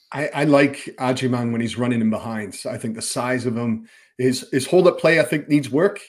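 The background is quiet as a man speaks at a fairly quick pace. His pitch varies in an ordinary way. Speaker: soccer broadcast analyst. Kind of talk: casual sports podcast chat. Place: home room.

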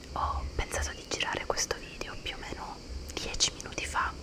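Whispering is all this woman does here. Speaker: ASMR creator. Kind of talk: ASMR whispered haul chat. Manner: whispered. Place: home room. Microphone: studio mic.

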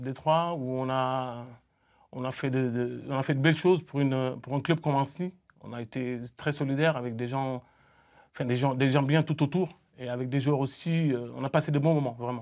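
At a moderate pace, a man speaks with fairly even intonation and long, frequent pauses against a quiet background. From Senegal (Mbour, near Dakar); Senegal. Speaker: football coach. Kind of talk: studio interview. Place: studio. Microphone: lapel.

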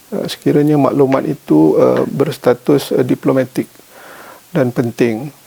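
A man with a Malaysian accent at a fairly slow pace, in a dry, close sound with no echo, with noticeable background noise. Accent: Malaysian Malay. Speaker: government official. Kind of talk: formal interview answers. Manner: many filler hesitations.

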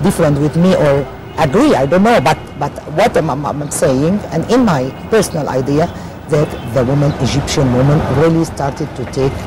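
Over clear music in the background, a woman speaks at a moderate pace with a very deep, low pitch. Her pitch variation is ordinary, and the sound is dry with no echo. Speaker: interview guest. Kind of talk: interview answer. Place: boat. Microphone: lapel.

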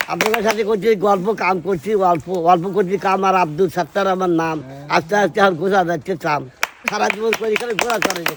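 There is noticeable background noise behind a man with a high pitch. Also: ordinary pitch variation. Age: 70s. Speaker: farmer. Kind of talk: improvised rhyming verse.

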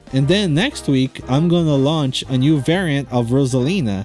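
A man speaks at a moderate pace with lively intonation. Music plays in the background. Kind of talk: casual vlog chat over drawing process.

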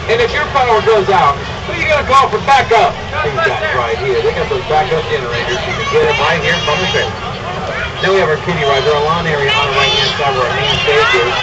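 Very fast speech against crowd noise in the background. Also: man. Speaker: tour narrator. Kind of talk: tour commentary. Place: street.

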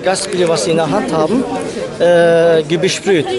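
A man talks at a moderate pace with a high pitch. The sound is dry with no echo, and a crowd can be heard in the background. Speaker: local resident, witness. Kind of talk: street interview. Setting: outdoors. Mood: upset, indignant. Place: street.

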